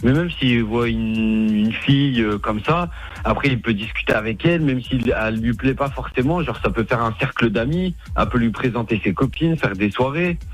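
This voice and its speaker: This man has a plain, everyday voice at a medium pitch with lively intonation. He talks at a moderate pace and keeps his loudness very even. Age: 20s. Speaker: caller. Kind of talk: casual chat.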